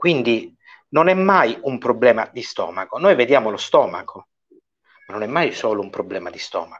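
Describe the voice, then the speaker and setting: Animated in tone, a man speaks at a moderate pace with big swings in loudness. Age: 40s. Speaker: doctor; guest. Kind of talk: informal medical Q&A. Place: home room. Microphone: earbuds.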